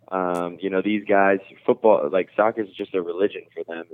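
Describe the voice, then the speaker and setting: Here a man talks at a moderate pace with an American accent. He has an unremarkable speaking voice at a fairly low pitch. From New Jersey, near Rockland County NY. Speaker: professional soccer goalkeeper. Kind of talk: interview.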